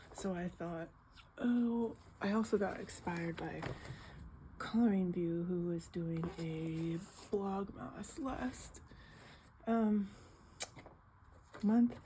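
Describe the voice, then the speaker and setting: Someone soft-spoken talks at a very slow pace, leaving long, frequent pauses. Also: woman, medium pitch for a woman, ordinary pitch variation. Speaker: coloring video creator. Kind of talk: casual chat. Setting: home living room.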